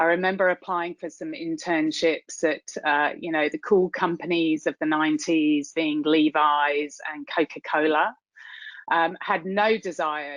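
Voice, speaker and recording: In a British accent, a woman speaks at a very deep, low pitch and a fairly slow pace. Her intonation is fairly even, and the sound is dry and close with no echo. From UK. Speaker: tech executive, keynote speaker. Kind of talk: keynote talk. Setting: virtual event.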